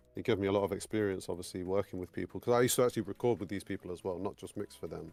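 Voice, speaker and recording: Very fast, fairly low-pitched man with fairly even intonation, dry, close sound with no echo, and music in the background. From England. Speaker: sound engineer. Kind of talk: interview. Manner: halting.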